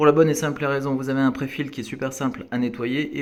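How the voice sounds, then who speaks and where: At a very fast pace, a man with a fairly high pitch speaks in a flat monotone. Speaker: aquarium hobbyist. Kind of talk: tutorial. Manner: casual with frequent hesitations.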